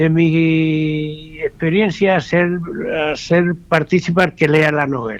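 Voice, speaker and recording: Over noticeable background noise, a man with a fairly high pitch speaks at a very slow pace and with fairly even intonation. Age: 80s+. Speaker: retired journalist and novelist. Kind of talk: radio interview.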